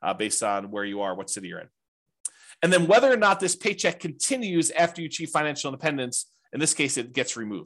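A man's fairly high voice with vocal fry and very wide pitch swings at a very fast pace, over a quiet background. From small town. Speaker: real estate investing teacher. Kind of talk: webinar class. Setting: webinar. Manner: casual, conversational.

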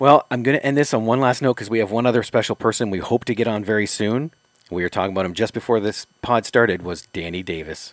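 A man at medium pitch, talking at a very fast pace with ordinary pitch variation, in a dry, close sound with no echo. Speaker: co-host and interviewer. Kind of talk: casual interview chat, questioning.

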